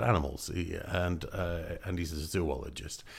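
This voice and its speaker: Someone with a Scottish accent speaks at a fairly slow pace. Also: man. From Scotland. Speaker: voiceover artist. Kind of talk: casual radio interview. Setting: studio. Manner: animated.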